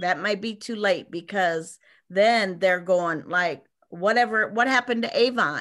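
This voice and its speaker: The voice has a bright, sharp tone and ordinary pitch variation at a very slow pace. The background is quiet. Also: woman. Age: 60s. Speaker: direct sales team leader. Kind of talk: casual group discussion. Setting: video call.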